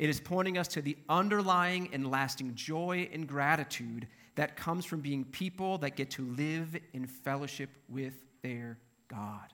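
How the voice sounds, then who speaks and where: A normal speaking voice with an American accent, at a fairly slow pace with ordinary pitch variation, in a very clean recording with a silent background. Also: man, fairly high pitch for a man. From Minnesota. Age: 40s. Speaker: pastor. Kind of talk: sermon. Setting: church.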